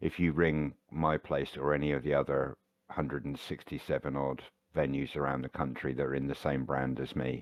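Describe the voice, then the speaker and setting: A man with a British accent speaks at a moderate pace in a very deep, low pitch, with monotone, flat intonation and vocal fry. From Britain. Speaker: chef working in hospitality. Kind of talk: casual chat.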